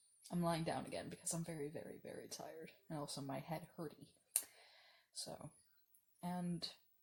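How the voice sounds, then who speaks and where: A woman speaks in a fairly low, somewhat breathy voice with flat, monotone intonation. She leaves long, frequent pauses. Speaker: video diarist. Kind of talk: casual vlog monologue. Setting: lying down. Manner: slow; halting.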